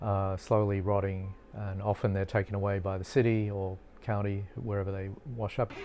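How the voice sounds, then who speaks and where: Over music in the background, a man with an Australian accent talks at a fairly low pitch. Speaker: marine biology professor. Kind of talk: interview explanation.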